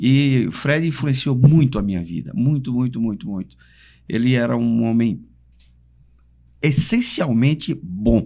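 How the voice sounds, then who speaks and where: Lively in intonation yet fairly slow, with long, frequent pauses, a man speaks at a medium pitch in a dark, mellow tone. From Brazil, Maceió (Alagoas, Northeast). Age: 70s. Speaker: conductor and church musician. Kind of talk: interview conversation.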